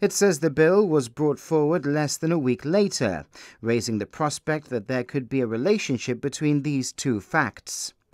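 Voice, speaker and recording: A plain, everyday voice moves at a moderate pace with lively intonation. The recording is very clean, dry and close, with a silent background and no echo. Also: man, fairly high pitch for a man. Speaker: news reporter. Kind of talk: news reading. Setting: broadcast news report. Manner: formal; measured, steady, and neutral.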